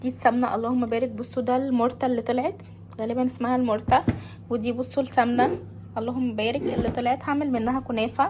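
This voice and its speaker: A woman's voice with fairly even intonation and noticeable background noise. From Egypt. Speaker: home vlogger, mother. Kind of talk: casual cooking vlog talk to camera. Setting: home kitchen. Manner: hesitant, many fillers.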